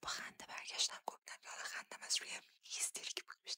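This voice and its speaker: A woman whispers at a moderate pace. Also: dry, close sound with no echo. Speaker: ASMR creator. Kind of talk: ASMR storytelling, personal anecdotes. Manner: whispered, soft-spoken.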